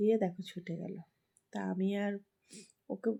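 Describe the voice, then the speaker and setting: A somewhat breathy woman speaks in a dark, mellow tone with ordinary pitch variation. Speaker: vlogger and mother. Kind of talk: casual chat to camera.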